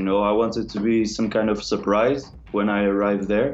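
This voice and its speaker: A man with a Portuguese accent speaks at a moderate pace. Noticeable background noise and audible room echo are present. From northern Portugal. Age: young. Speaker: techno producer. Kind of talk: interview.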